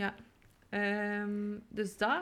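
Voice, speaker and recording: A woman speaks with a West Flemish accent. Her pitch is fairly high. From West Flanders, Belgium. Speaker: podcast co-host. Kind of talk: casual chat.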